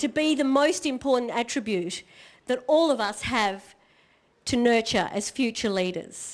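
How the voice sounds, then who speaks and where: Lively intonation and an Australian accent come through at a moderate pace over music in the background. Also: woman. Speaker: motivational speaker. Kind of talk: keynote speech.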